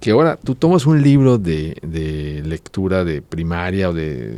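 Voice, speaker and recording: A man's dark, mellow voice at a fairly slow pace, with very wide pitch swings. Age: 50s. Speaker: writer. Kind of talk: casual chat.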